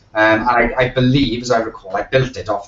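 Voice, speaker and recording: Against noticeable background noise, a man with a South Wales accent talks at a moderate pace in a monotone, flat intonation. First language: Welsh. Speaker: web designer, agency owner. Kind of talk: podcast interview. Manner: halting, many fillers.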